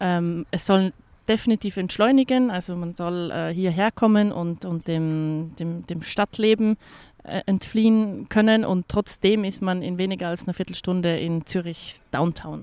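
Recorded with a dry, close sound and no echo, a woman speaks fairly slowly at a medium pitch, with a dark, mellow tone and ordinary pitch variation. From Austria. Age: 30s. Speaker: hotel manager. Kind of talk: interview. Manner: hesitant, many fillers and repetitions.

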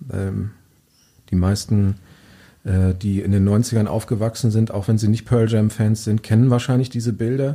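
Long, frequent pauses break up a man's fairly low-pitched voice, which has a dark, mellow tone and fairly even intonation. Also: moderate pace. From Lower Saxony, near Diepholz. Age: 40s. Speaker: journalist and author. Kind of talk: interview. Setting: studio.

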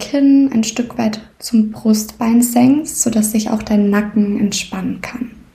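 A woman's soothing, calm tone at a very slow pace. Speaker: podcast host and meditation guide. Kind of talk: guided meditation. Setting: podcast recording, solo. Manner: slow, soothing, calm; gentle, unhurried, with long pauses.

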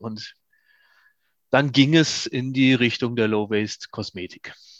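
With a plain, everyday voice, a man talks at a fairly slow pace and medium pitch with fairly even intonation, the sound dry and close with no echo and the background quiet. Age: 50s. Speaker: company founder. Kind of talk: interview.

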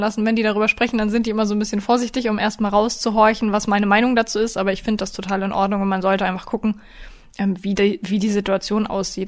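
A woman rattles along at a very fast pace with a fairly high pitch and monotone, flat intonation. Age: 20s. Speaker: dog trainer and podcast host. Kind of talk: casual chat.

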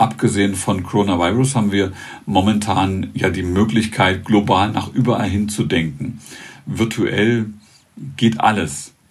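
The man speaks at a fairly low pitch and a fairly slow pace, with ordinary pitch variation. Audible room echo surrounds his voice. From eastern Germany, northern Thuringia. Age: 50s. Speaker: author and public speaker. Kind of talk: interview.

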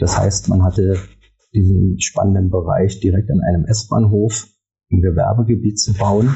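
Somewhat breathy, a man speaks with a very deep, low pitch and ordinary pitch variation. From Germany, Berlin. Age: 50s. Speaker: architect and property developer. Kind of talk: podcast interview.

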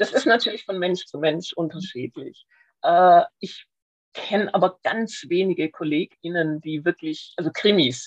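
Spoken at a moderate pace, the voice sounds dry and close, with no echo at all. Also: woman. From Swabia, Schwäbisch Hall. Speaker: crime novelist. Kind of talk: casual interview.

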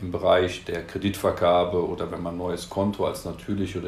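With a slight Rhineland accent, a man speaks very fast in a very deep, low, somewhat breathy voice, his intonation flat and monotone, with audible room echo. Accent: slight Rhineland lilt. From Cologne, Rhineland, Germany. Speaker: compliance data expert, business unit head. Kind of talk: interview. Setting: studio.

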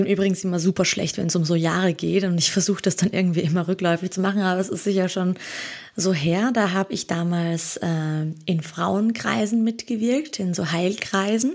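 Speaking fairly quickly, a woman has an ordinary speaking voice at medium pitch. Her pitch varies in an ordinary way. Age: 30s. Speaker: holistic coach. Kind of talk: casual interview.

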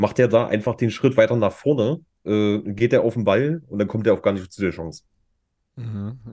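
The man's voice has a dark, mellow tone at a medium pitch. He speaks at a moderate pace with ordinary pitch variation. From Saxony-Anhalt, Germany (Magdeburg). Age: 30s. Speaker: esports player and streamer. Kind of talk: casual chat. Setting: remote recording, virtual studio.

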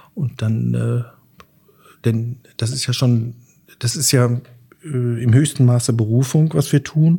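A man with a medium pitch and a somewhat breathy voice speaks at a very slow pace. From Sauerland, Germany. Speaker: chef and restaurant owner. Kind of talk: casual interview. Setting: at home. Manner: hesitant with fillers.

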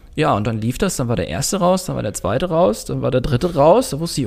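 Speaking at a very fast pace, a man's voice shows vocal fry and very wide pitch swings. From northern Germany, Baltic coast. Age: 20s. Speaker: sport shooter. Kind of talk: interview. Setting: podcast room in a gym.

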